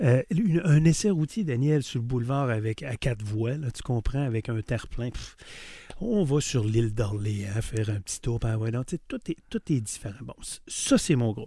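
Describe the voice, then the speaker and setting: A somewhat breathy man at a moderate pace. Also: medium pitch for a man, ordinary pitch variation. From Quebec City, Quebec. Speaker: car dealership owner. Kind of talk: interview.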